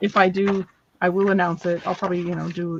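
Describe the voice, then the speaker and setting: A woman's somewhat breathy voice, fairly low in pitch, at a very fast pace. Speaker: crafter selling handmade paper on a live stream. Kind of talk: live sales stream. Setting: live stream.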